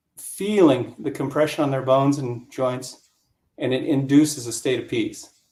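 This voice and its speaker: Sounding dark and mellow, a voice with an American accent keeps a moderate pace and fairly even intonation amid big swings in loudness. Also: man, fairly high pitch for a man. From US, rural Colorado. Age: 60s. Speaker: yoga instructor. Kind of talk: interview, explaining exercises.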